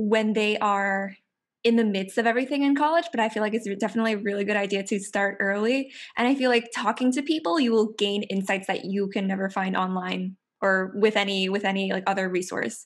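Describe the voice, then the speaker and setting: A woman with an American accent talks at a fairly high pitch with ordinary pitch variation, in a plain, everyday voice. The recording is very clean with a silent background. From New York. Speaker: student podcast host. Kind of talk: casual interview chat.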